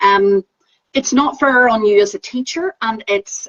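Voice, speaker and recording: A woman speaks in a Northern Irish accent with a fairly high pitch. Her voice sounds dry and close, with no echo. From Northern Ireland. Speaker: Pilates teacher trainer. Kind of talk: casual chat.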